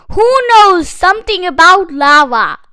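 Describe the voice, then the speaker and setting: A woman does a put-on character voice at an extremely high pitch. Her intonation is lively and her pace moderate. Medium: read story. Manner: orderly, instructive.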